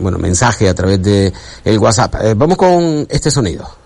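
A man with fairly low pitch talks at a fairly slow pace in an ordinary speaking voice. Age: 50s. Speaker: sports radio host. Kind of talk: radio sports talk show.

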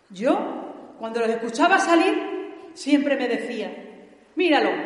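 Against noticeable background noise, a woman with an Andalusian accent speaks in a solemn tone at a high pitch with lively intonation. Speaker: pregonera giving the festival address. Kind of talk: pregón, formal devotional oration with verse, in church. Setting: church with audience. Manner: solemn, emotional, rhetorical and impassioned.

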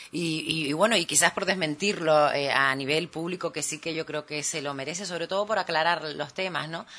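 The speech moves at a fairly quick pace with hardly any pauses over noticeable background noise. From Canary Islands, Telde (Gran Canaria). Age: 40s. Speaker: island councillor, opposition politician. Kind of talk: political talk radio interview.

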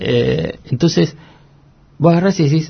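A man's pitch rises and falls very widely as he talks fairly slowly. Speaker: economic journalist. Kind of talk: interview. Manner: halting, many repetitions.

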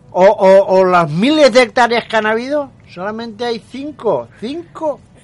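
A man speaks at a fairly slow pace in an extremely high pitch with lively intonation, over noticeable background noise. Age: 50s. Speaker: radio host. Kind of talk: radio talk show. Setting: radio studio. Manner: emphatic.

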